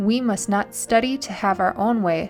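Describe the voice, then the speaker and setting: Music in the background behind a woman at a medium pitch, moderate pace and ordinary pitch variation. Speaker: evangelist. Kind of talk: devotional reading.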